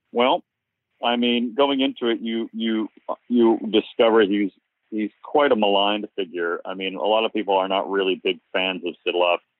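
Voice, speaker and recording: This is an ordinary speaking voice from a man with a fairly low pitch. He talks at a moderate pace with ordinary pitch variation. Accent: American. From US Northeast, Cape Cod, Massachusetts. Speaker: documentary filmmaker. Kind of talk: interview.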